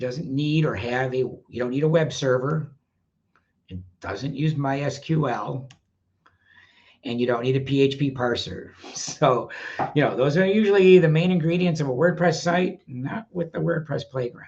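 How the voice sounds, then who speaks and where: A man speaks at a moderate pace with ordinary pitch variation and a somewhat breathy sound. He leaves long, frequent pauses. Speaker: WordPress educator. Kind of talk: webinar presentation. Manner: casual, many fillers.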